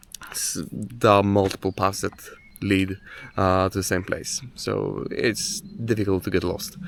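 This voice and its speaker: A man's fairly slow delivery in a Polish accent. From Poland. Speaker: hiking vlogger. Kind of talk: outdoor vlog narration. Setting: outdoors on a hike. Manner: halting, many fillers.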